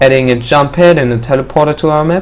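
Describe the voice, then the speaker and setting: This man keeps a medium pitch and fairly even intonation while talking at a moderate pace. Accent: non-native. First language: not English. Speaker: mapping tutorial maker. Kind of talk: tutorial. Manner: hesitant, many fillers.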